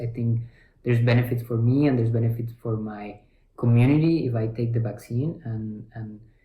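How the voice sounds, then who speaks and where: Somewhat breathy and dark, mellow in tone, a man speaks at medium pitch and moderate pace with a monotone, flat intonation. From Ecuador. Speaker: physician. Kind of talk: interview answer.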